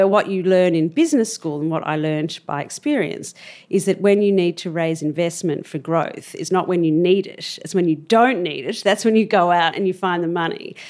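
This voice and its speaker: In an Australian accent, a woman speaks at a fairly quick pace with a fairly low pitch and ordinary pitch variation. The recording is very clean, the background silent. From Australia, Melbourne. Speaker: cosmetics entrepreneur. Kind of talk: interview.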